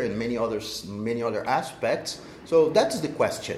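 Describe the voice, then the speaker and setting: Someone with a Portuguese accent speaks at a moderate pace with ordinary pitch variation, amid audible room echo and noticeable background noise. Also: man. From Brazil. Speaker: social entrepreneur, co-working space co-founder. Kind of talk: interview. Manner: halting, many repeated words.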